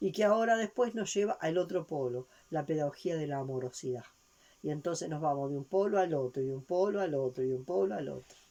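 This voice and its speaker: The pitch swings very widely over a dark, mellow tone. Delivery moves at a fairly quick pace. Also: woman, very deep, low pitch for a woman. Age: 70s. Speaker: spiritual teacher. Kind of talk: lecture. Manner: halting.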